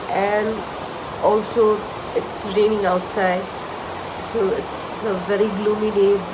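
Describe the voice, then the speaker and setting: A medium-pitched woman's flat, monotone voice, with audible room echo and noticeable background noise. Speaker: beauty vlogger. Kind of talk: vlog intro.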